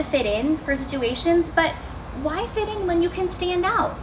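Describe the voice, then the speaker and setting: With an American accent, a woman speaks with very wide pitch swings amid noticeable background noise and audible room echo. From Arizona, US, then India from age nine. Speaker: student speaker. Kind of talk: motivational talk.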